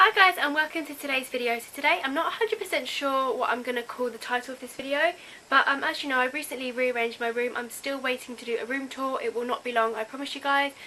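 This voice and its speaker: Over noticeable background noise, a woman talks at a very fast pace with hardly any pauses in a raised, projected voice. Her pitch is high, with ordinary variation. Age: young. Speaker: youtuber. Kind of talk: casual vlog.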